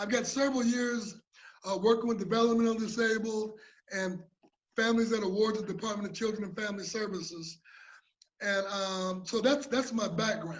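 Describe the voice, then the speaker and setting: A man's fairly high voice at a moderate pace, with fairly even intonation and audible room echo. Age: 60s. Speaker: conference presenter, mental health peer speaker. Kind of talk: presentation. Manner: halting, with repetitions.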